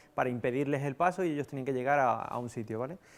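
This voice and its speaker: Medium-pitched male voice in a Sevillian accent, with ordinary pitch variation. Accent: Andalusian (Seville), noticeable. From Spain, Seville (Andalusia). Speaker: software developer, conference speaker. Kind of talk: conference talk. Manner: casual, hesitant with fillers.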